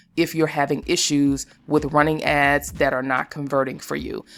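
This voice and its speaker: A woman's very deep, low voice at a fairly quick pace with fairly even intonation. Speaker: YouTuber teaching self-publishing. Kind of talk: tutorial. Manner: fast.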